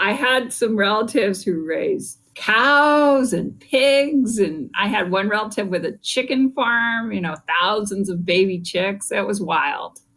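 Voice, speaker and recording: Someone with a West Coast accent talks at a fairly slow pace with lively intonation and hardly any pauses. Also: woman, fairly high pitch for a woman. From California Bay Area. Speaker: business school dean, economist. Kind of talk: interview.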